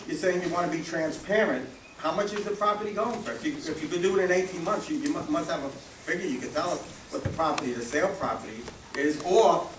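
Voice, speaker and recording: At a fairly quick pace, a man talks in a high voice with lively intonation, with audible room echo and noticeable background noise. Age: 60s. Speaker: community resident. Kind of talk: public meeting comment. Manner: halting, many fillers and repeats.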